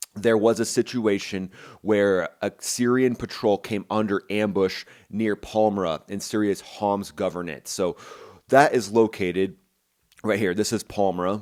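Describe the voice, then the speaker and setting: In a very clean recording with a silent background, a man with an American accent speaks in an energetic tone at a fairly low pitch. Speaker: military aviation commentator, former fighter pilot. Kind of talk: news commentary breakdown. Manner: fast; casual, energetic.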